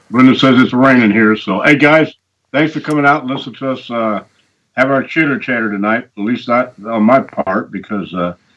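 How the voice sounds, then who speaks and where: At a fairly quick pace, a man talks with ordinary pitch variation. He has a normal speaking voice at a medium pitch. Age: 60s. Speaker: regular caller on show. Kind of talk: casual chat.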